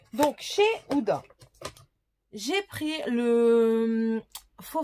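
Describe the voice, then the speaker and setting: A woman's lively intonation at a very slow pace. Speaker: beauty vlogger. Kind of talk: casual product haul video. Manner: hesitant with many fillers.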